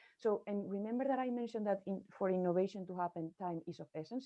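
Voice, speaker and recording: Very fast, a woman's medium-pitched voice moves with ordinary pitch variation. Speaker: innovation procurement expert. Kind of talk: presentation.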